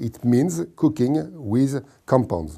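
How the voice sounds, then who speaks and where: A man's dark, mellow voice with a French accent, in a very clean recording against a silent background. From France. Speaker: scientist presenting a cooking contest. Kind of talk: informal explainer. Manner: halting, with repetitions and fillers.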